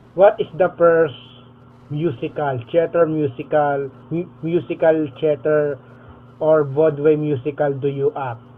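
A man with an unremarkable speaking voice talks at a fairly slow pace. His pitch is fairly high and his intonation fairly even. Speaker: podcast host.

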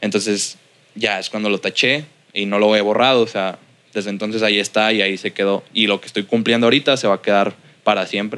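Very fast speech from a man with a Mexican accent, fairly low in pitch, bright and sharp in tone, with fairly even intonation. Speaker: music producer. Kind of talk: casual interview. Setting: his recording studio.

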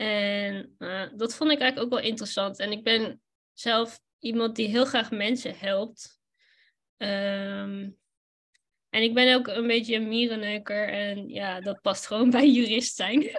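A woman speaks at a very slow pace with fairly even intonation. The recording is very clean, with a silent background. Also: fairly high pitch for a woman. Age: 30s. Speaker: lawyer and photographer. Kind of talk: casual interview. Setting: live recording.

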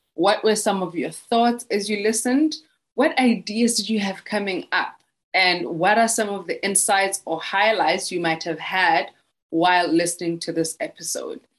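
A woman with a Botswana accent at a moderate pace. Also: medium pitch for a woman, lively intonation. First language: Setswana. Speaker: podcast host and womb healer. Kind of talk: scripted outro; interview conversation.

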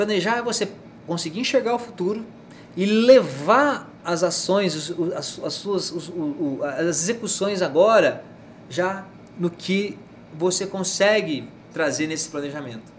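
A man's high-pitched voice with lively intonation, a fairly slow pace, long and frequent pauses, and noticeable background noise. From Mato Grosso, Brazil (Rondonópolis). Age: 40s. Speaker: politician and businessman. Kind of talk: casual interview.

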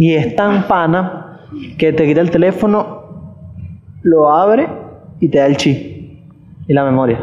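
A man with a fairly high pitch speaks at a very slow pace with long, frequent pauses and very even loudness, with audible room echo and noticeable background noise. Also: ordinary pitch variation. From Venezuela, Caracas. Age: 20s. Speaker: podcast host. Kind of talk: casual chat.

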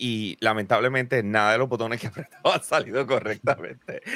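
With a Puerto Rican accent, a man talks at a moderate pace in an animated, bright, sharp tone, his medium pitch showing ordinary variation. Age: 40s. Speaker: gaming podcast host. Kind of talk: casual chat.

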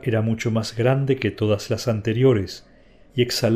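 With fairly even intonation, the speaker reads in a natural reading voice.

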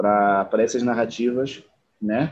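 A man's voice of medium pitch with a dark, mellow tone. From Angola. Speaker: actor and producer. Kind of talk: interview conversation. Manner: halting, many repetitions.

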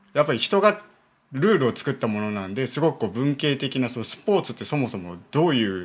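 Talking at a fairly quick pace, a man of medium pitch makes very wide pitch swings and big swings in loudness. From Niigata, Japan (Myoko). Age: 30s. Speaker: Buddhist temple priest. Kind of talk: casual interview conversation.

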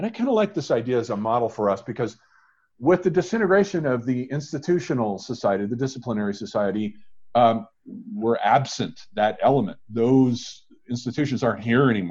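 A man speaks in a normal speaking voice at medium pitch. His intonation is lively and his pace fairly quick. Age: 50s. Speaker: podcast host and author. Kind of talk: casual academic discussion.

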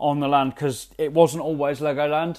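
Speaking at a fairly quick pace with a London accent, a man uses a fairly high pitch and fairly even intonation. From England, north London. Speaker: podcast host. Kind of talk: solo travel podcast monologue. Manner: hesitant, many repetitions and fillers.

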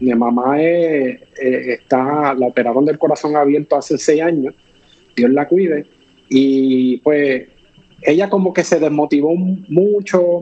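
Man with a Puerto Rican accent and fairly high pitch, very slow pace, very even loudness. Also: ordinary pitch variation. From Puerto Rico. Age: 40s. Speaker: fitness influencer. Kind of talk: interview. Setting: video call.

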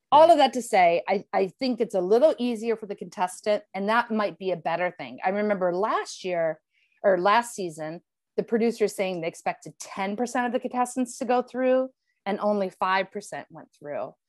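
A woman with a plain, everyday voice, medium pitch and lively intonation at a moderate pace, big swings in loudness, a dry, close sound with no echo and a quiet background. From Ohio, Cleveland. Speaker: former game show contestant. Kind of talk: casual chat.

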